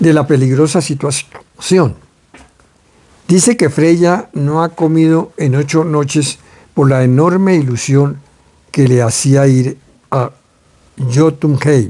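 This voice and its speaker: With very even loudness and long, frequent pauses, a man talks at a very slow pace in a fairly high-pitched, dark, mellow voice with ordinary pitch variation. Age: 80s+. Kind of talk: book reading aloud.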